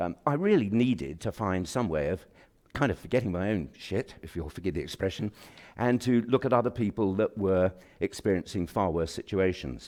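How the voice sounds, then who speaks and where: The speaker has a British accent and lively intonation at a moderate pace. The recording is very clean, with a silent background. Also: man, fairly low pitch for a man. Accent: BBC-style English (RP). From England, Kent. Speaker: president of a professional institute. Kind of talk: formal speech. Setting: auditorium with audience. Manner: halting, many fillers.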